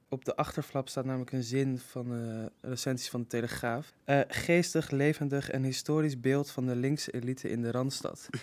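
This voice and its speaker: With hardly any pauses, a man talks at a fairly quick pace. His medium-pitched voice stays monotone, with flat intonation. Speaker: art history student. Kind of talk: casual chat.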